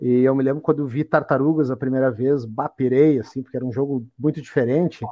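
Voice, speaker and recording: Talking at a fairly quick pace, a man with a fairly high pitch and ordinary pitch variation has an unremarkable speaking voice. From Porto Alegre, Brazil. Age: 30s. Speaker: podcast host. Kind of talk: casual chat.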